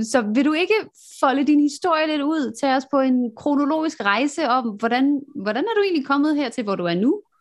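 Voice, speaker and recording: At a moderate pace, a woman speaks in a high voice with lively intonation. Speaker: podcast host. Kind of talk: interview. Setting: video call. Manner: animated.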